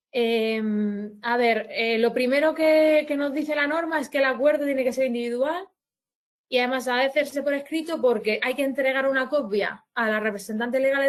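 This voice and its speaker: High pitch from a woman, with ordinary movement in pitch. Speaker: labour law advisor. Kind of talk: webinar presentation. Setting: online webinar. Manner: halting, many restarts.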